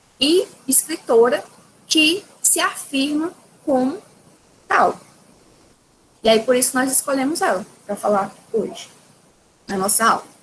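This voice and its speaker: Against noticeable background noise, a woman speaks very slowly in a high voice, with very wide pitch swings and long, frequent pauses. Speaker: teacher. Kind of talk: lecture.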